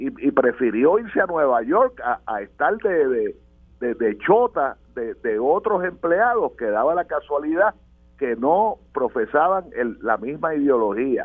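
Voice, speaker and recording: A man with a fairly high pitch talks at a fairly slow pace, his voice making very wide pitch swings. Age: 70s. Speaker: political commentator. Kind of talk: radio panel discussion.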